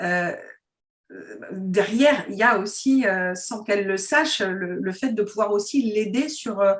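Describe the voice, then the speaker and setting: A woman with an unremarkable speaking voice talks at a fairly slow pace. Her pitch is medium, with ordinary variation. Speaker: interviewer. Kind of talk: interview questions.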